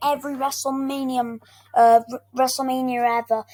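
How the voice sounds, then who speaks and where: This woman's voice is squeaky and high-pitched, moving at a moderate pace. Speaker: gaming and wrestling YouTuber. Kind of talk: casual ranking commentary video. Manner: halting, many fillers and restarts.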